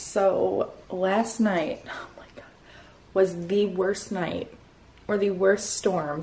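Using a put-on character voice, a woman talks at a very slow pace in a raspy tone at medium pitch, with fairly even intonation and big swings in loudness. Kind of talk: casual vlog chat. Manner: tired, recounting a bad storm night. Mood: animated, recounting a rough night.

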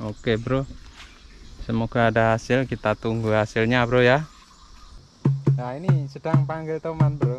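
Faint music plays in the background as a man talks at a fairly slow pace with long, frequent pauses, his medium pitch showing little movement.

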